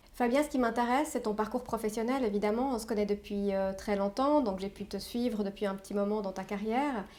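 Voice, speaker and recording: With hardly any pauses, a woman speaks at a fairly quick pace in a fairly high pitch, her tone dark and mellow and her intonation fairly even. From Switzerland. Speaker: interview host, entrepreneur. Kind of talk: interview. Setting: office.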